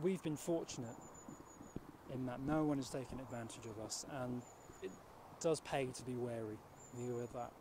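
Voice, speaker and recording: A man talks at a moderate pace with ordinary pitch variation, his dry sound carrying no echo despite noticeable background noise. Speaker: presenter. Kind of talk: mock documentary address to camera. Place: open country. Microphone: handheld.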